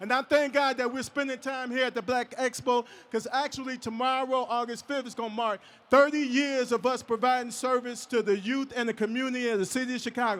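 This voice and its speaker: The delivery is flat and monotone, moving at a fairly quick pace. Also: man, extremely high pitch for a man. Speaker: nonprofit founder and event host. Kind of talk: emcee introduction at a live expo.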